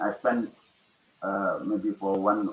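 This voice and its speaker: The speaker is a man with an Indonesian accent. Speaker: education official and webinar speaker. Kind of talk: webinar talk. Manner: halting.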